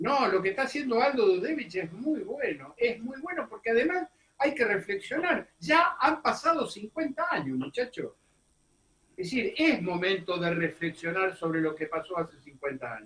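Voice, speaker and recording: This man's pitch is extremely high and swings very widely. He talks at a moderate pace. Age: 70s. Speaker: political commentator. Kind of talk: radio interview. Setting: radio studio. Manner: animated.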